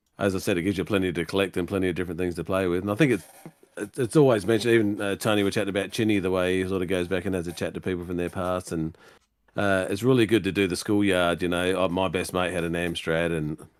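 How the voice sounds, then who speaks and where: Speaking at a very fast pace, a man with a very deep, low voice and an Australian accent keeps his intonation fairly even. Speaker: retro computer collector. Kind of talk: casual panel chat.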